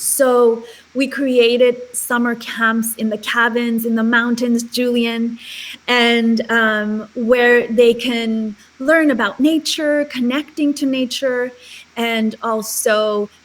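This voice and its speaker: Very slow, monotone, flat speech with a Spanish accent and noticeable background noise. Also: woman, fairly high pitch for a woman. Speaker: charity founder. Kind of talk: interview.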